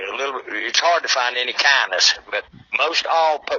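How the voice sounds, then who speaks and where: Someone speaks in an Appalachian accent over noticeable background noise. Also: man. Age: 70s. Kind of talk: casual chat.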